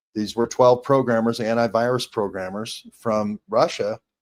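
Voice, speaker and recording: Here a man with an unremarkable speaking voice talks at a moderate pace and a medium pitch. The sound is dry and close with no echo, and his pitch varies an ordinary amount. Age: 60s. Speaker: independent journalist. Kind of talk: interview.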